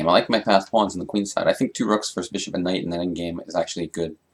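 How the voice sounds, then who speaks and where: Speaking very fast, the man keeps his voice at a fairly low pitch. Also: hardly any pauses. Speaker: chess player streamer. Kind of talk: live game commentary. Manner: casual, halting with repeats.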